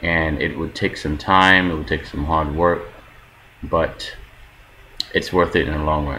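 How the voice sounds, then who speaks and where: The speaker has an American accent and fairly even intonation. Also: man. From New York, US East Coast. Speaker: vlogger, film worker in China. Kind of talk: casual vlog monologue.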